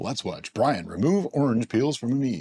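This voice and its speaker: A man does a put-on character voice at medium pitch and a moderate pace. The recording is very clean, with a silent background and a dry, close sound with no echo. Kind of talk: announcer delivery. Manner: mock-serious, dramatic.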